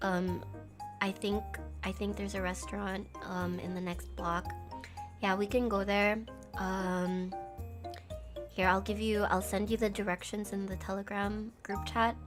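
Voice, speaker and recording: Using a strained, put-on character voice at medium pitch, a woman speaks at a moderate pace with music playing in the background. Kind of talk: plain, polite everyday speech. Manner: normal, subdued.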